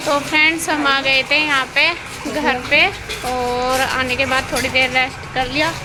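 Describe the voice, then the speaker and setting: Against noticeable background noise and audible room echo, a woman projects a raised, high-pitched voice at a fairly slow pace. Her intonation is monotone and flat, and her loudness stays very even. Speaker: village vlogger. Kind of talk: vlog. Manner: casual.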